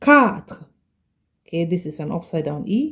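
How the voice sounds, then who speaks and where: Somewhat breathy, a woman speaks at a medium pitch with very wide pitch swings. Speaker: French language teacher. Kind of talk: tutorial. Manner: slow, careful pronunciation.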